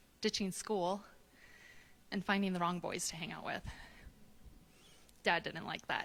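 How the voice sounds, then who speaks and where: Soft-spoken and with an American accent, a woman talks at a moderate pace and medium pitch, her intonation monotone and flat, with long, frequent pauses. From US Midwest, Wisconsin. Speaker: storyteller. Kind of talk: personal storytelling on stage. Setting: stage with live audience.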